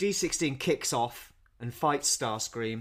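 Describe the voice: A man talks at a slow pace. His tone is fairly bright.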